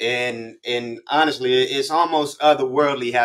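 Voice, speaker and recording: A man with an American accent talks in an ordinary speaking voice at a moderate pace. His intonation is fairly even, and the background is quiet. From Inglewood, California. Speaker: hip hop interviewer. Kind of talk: casual interview. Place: home room. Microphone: video call.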